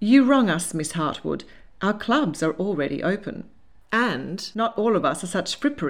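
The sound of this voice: The intonation is lively in this unforced reading.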